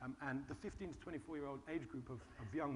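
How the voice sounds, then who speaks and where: Speaking at a very fast pace, a man uses a fairly high pitch with ordinary variation. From Britain. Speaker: charity founder. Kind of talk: panel discussion.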